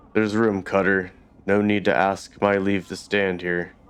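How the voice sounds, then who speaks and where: A man performs in a put-on character voice. His pace is moderate and his intonation monotone and flat. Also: fairly low pitch for a man. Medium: actual play. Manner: gruff, rueful, blunt.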